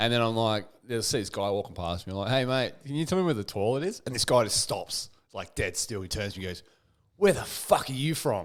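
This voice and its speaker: Speaking at a fairly quick pace, a man with a strong Australian accent uses lively intonation at a medium pitch in a very clean recording with a silent background. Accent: strong Australian (ocker). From Australia (Canberra). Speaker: podcast host. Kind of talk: casual chat. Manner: animated.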